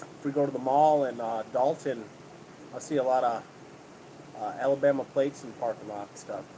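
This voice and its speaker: Speaking with an American accent at a medium pitch, a man talks at a fairly quick pace with fairly even intonation, big swings in loudness and long, frequent pauses. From upstate New York. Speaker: homesteading livestreamer. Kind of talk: casual chat. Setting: livestream.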